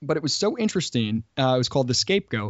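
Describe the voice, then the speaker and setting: A man with an American accent talks at a fairly high pitch. His intonation is lively. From US Midwest. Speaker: company CEO. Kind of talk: casual chat. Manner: halting.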